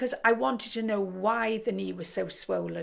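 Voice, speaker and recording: In a very clean recording with a silent background, a woman with an English accent speaks at a moderate pace with vocal fry. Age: 60s. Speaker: kickboxer and biker. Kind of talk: casual talk to camera.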